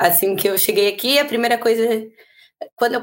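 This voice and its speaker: A woman with ordinary pitch variation. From Brazil, São Paulo. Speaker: rugby player. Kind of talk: podcast interview.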